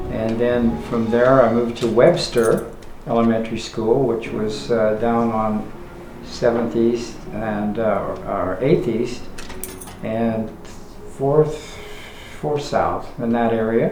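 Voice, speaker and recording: A man with a western US accent talks at a very slow pace and a medium pitch, with ordinary pitch variation. Noticeable background noise and audible room echo are present. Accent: western American. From Utah, Salt Lake City. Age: 80s+. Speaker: interviewee recalling his life. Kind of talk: life story interview. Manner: halting, many fillers.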